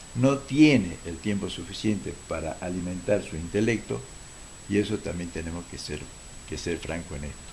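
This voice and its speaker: Very deep and low, a man's somewhat breathy voice moves at a moderate pace with lively intonation and big swings in loudness. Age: 70s. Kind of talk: TV talk show interview.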